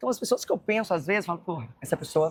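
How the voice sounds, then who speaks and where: A woman talks at a very fast pace. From Goiás, Brazil (Goiânia). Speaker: influencer. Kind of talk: casual chat. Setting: walking while filming.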